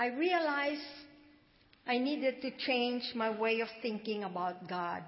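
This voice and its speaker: Her pitch is high, and this woman speaks at a fairly slow pace. Her intonation is lively. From Philippines. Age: 70s. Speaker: church member. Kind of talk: testimony. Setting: church.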